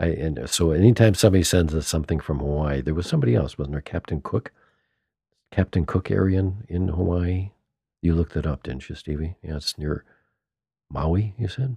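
With a dry, close sound and no echo, a man talks at a fairly quick pace in a very deep, low pitch, his tone dark and mellow and somewhat breathy. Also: ordinary pitch variation. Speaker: podcast host and band musician. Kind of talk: casual chat. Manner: animated.

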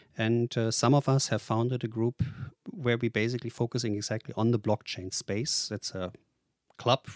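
In a very clean recording with a silent background and a dry, close sound with no echo, a man with a German accent speaks at medium pitch and a moderate pace. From Germany. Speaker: tech investor and author. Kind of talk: interview.

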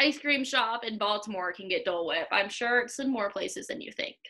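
A woman projects her voice with lively intonation. She speaks at a fairly quick pace. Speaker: podcast host and running coach. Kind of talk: casual interview chat. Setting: video call.

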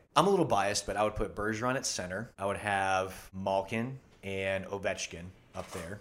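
This man speaks in a normal speaking voice, fairly low in pitch, with fairly even intonation at a moderate pace. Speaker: medical student and travel videographer. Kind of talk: casual chat.

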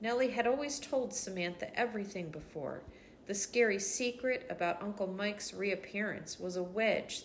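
Pitch varies in an ordinary way as the speaker reads aloud in a natural voice.

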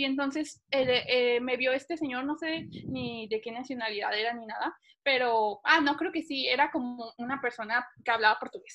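A woman talks at a moderate pace with a high pitch. Her pitch variation is ordinary. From Mexico (Cancún, Monterrey) and Panama. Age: 20s. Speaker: airline pilot. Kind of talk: interview.

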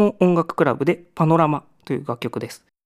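Moderately paced, fairly high male voice on a very clean recording with a silent background. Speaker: musician. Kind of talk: radio-style music show talk. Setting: studio. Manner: hesitant with many fillers.

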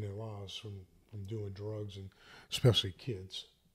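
A man with an American accent, fairly low pitch and a somewhat breathy voice at a fairly quick pace, on a very clean recording with a silent background. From US South, St. Bernard Parish, Louisiana. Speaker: entrepreneur, commercial real estate salesman. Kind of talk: casual podcast conversation.

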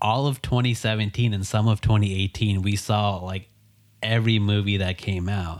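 An unremarkable speaking voice with an American accent and fairly even intonation goes at a moderate pace on a very clean recording with a silent background. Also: man. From Texas, Dallas. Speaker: podcast co-host, reseller. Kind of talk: casual chat.

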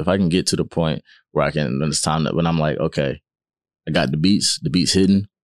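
Vocal fry runs through very fast speech with ordinary pitch variation and a dry, close sound with no echo. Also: man. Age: 20s. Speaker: rapper. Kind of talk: casual chat. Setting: studio.

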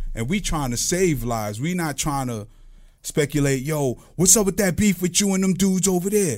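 A man with a Brooklyn accent speaks at a moderate pace with high pitch and lively intonation, in a very clean recording with a silent background. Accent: Brooklyn New York. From Brooklyn, New York. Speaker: guest. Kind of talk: casual chat.

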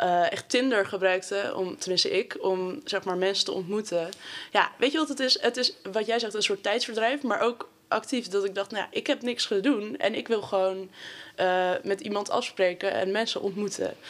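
At a moderate pace, a woman speaks at medium pitch with ordinary pitch variation in a plain, everyday voice. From Amsterdam, Netherlands. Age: 19. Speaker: sociology student. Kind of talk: casual chat.

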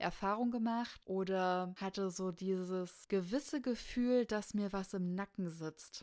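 On a very clean recording with a silent background, a woman speaks at a medium pitch and a fairly slow pace with ordinary pitch variation. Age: 30s. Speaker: podcast host. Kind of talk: casual monologue. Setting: home studio.

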